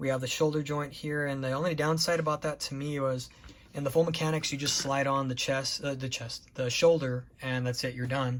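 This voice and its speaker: The speech comes at a fairly quick pace with a monotone, flat intonation. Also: man, fairly high pitch for a man. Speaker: model kit reviewer. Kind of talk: product review tutorial. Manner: fast; casual, halting with fillers.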